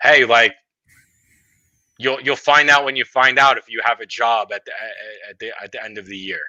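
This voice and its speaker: A man at a moderate pace with long, frequent pauses and big swings in loudness, in a dry, close sound with no echo and a quiet background. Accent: Brooklyn. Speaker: bowling podcast co-host. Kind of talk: casual chat. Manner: animated.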